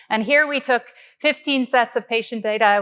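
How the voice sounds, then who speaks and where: Recorded very cleanly against a silent background, a woman with an Irish accent speaks at a moderate pace in a fairly high voice. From Ireland, Galway. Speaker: engineering professor. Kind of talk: keynote lecture. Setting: conference stage with audience.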